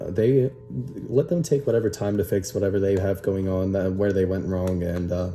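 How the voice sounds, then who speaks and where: With music playing in the background, a man with a fairly low pitch and ordinary pitch variation speaks at a fairly quick pace. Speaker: YouTuber. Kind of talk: casual vlog commentary. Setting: home bedroom. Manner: halting, many fillers.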